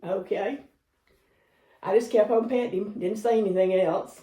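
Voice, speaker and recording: With a Southern US accent, a woman speaks at a moderate pace in a medium pitch, her tone dark and mellow, somewhat breathy, with ordinary pitch variation. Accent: Southern US (Georgia). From US South, Georgia. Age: 70s. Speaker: grandmother interviewee, world traveler. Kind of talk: storytelling interview.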